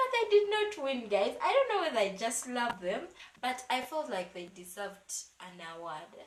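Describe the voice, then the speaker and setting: The voice is animated, with very wide pitch swings and big swings in loudness. It moves at a moderate pace with audible room echo. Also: woman, high pitch for a woman. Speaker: YouTuber, gospel music reviewer. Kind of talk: casual vlog review.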